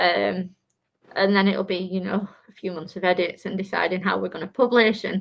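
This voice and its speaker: Her pitch medium, a woman speaks in a monotone, flat intonation with vocal fry. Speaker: author. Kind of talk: casual interview chat. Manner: fast.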